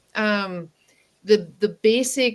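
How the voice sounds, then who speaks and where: A woman with an American accent and an unremarkable speaking voice, fairly high in pitch, with ordinary pitch variation. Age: 60s. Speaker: communication mentor. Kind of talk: interview conversation.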